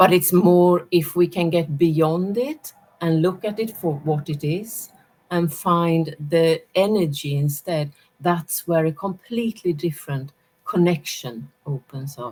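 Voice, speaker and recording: Speaking at a fairly slow pace with a Swedish accent, a woman uses a fairly low pitch and ordinary pitch variation. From Sweden. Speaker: energy and intuition teacher, former academic. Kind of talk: casual chat.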